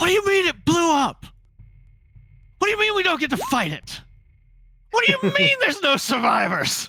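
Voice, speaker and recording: In a put-on character voice at an extremely high pitch, someone shouts at a moderate pace with long, frequent pauses. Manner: screaming, frustrated.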